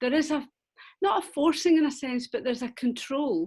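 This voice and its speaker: A woman with a Scottish accent, lively intonation and a moderate pace. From Scotland. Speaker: webinar participant. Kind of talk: question in webinar. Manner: halting, hesitant.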